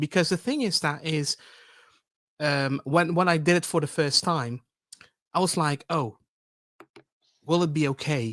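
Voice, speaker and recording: This man has a Dutch accent and a fairly high pitch, with ordinary pitch variation and a fairly slow pace. Long pauses come often, and the very clean recording has a silent background and a dry, close sound with no echo. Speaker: public speaking expert. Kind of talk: panel discussion. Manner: halting, many repetitions.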